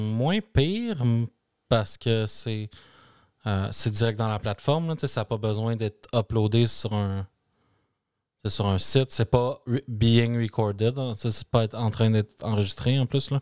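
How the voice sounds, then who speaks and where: A man speaks at medium pitch with a Quebec accent, at a fairly slow pace. His intonation stays fairly even, broken by long, frequent pauses, on a very clean recording with a silent background. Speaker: tech podcast co-host. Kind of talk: casual chat.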